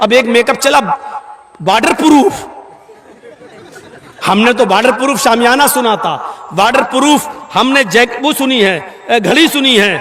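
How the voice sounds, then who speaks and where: A man with an extremely high voice speaks at a very even loudness with ordinary pitch variation, against noticeable background noise. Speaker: Islamic preacher giving a public sermon. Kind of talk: humorous religious sermon (bayaan) with anecdotes. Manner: humorous, storytelling, lively.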